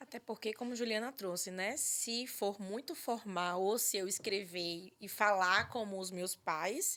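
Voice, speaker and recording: A woman speaks at a fairly slow pace with hardly any pauses, her medium-pitched voice bright and sharp in tone. Her pitch varies in an ordinary way. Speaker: psychologist and podcast host. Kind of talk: podcast conversation.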